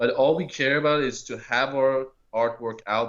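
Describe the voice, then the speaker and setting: A man talks with a non-native accent. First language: not English. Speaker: metal band guitarist and vocalist. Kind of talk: radio interview.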